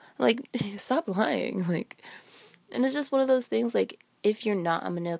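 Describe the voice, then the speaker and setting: An animated woman at a moderate pace, with a dry, close sound and no echo. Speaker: solo podcaster. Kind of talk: casual storytelling monologue. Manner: casual, animated, laughs often.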